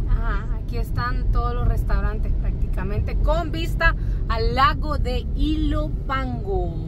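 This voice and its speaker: Backed by music, a woman speaks at a very slow pace in a dry sound with no echo. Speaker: passenger co-host. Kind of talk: casual vlog chat. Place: car. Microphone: phone near.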